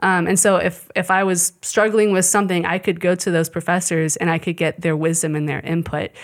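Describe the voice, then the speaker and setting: With a US Midwestern accent, a woman speaks at a fairly quick pace and fairly low pitch, her intonation fairly even and her speech hardly broken by pauses. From Kansas City area, US Midwest. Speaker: Bible institute student. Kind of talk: testimony.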